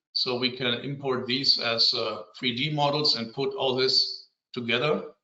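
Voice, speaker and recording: In a room with audible echo, a man speaks fairly slowly with fairly even intonation. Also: medium pitch for a man. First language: German. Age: 50s. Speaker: civil engineer. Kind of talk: conference presentation. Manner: halting.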